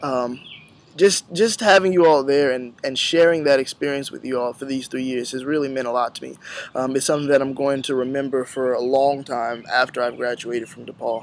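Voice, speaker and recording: Speaking in a normal speaking voice, this man's pitch sits in the middle range and rises and falls in an ordinary way. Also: fairly quick pace, big swings in loudness. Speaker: university student. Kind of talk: farewell address to classmates.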